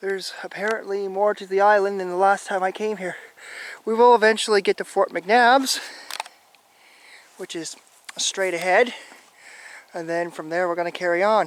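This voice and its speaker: The speech goes at a moderate pace. Long pauses come often. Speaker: YouTube explorer vlogger. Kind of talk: walking vlog narration. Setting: outdoors on an island. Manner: annoyed-sounding.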